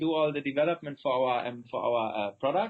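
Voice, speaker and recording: A man with a German accent, speaking at a moderate pace. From Germany. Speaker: company founder and CEO. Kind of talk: interview. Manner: halting.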